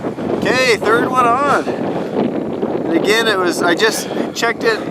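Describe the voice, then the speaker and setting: A man's extremely high voice at a very slow pace, ordinary pitch variation and very even loudness, with audible room echo and noticeable background noise. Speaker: outdoor video host. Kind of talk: on-location commentary. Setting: outdoors on frozen reservoir. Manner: yelling over wind.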